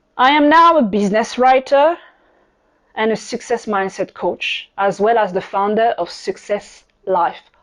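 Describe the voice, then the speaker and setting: A woman with a French accent speaks at a fairly high pitch with lively intonation. The background is quiet. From France, Paris. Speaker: podcast host, business coach. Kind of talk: podcast monologue.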